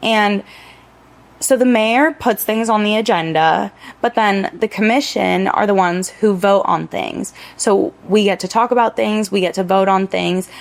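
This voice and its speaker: Against noticeable background noise, a woman with an American accent speaks at a medium pitch and moderate pace. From Miami Beach, Florida. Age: 20s. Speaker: local political candidate. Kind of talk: podcast interview. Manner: casual, chatty.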